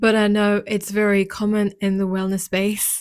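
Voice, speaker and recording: A woman speaks at a medium pitch in a French accent. The recording is very clean, with a silent background. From France. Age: 30s. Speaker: podcast host and wellness business owner. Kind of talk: personal monologue.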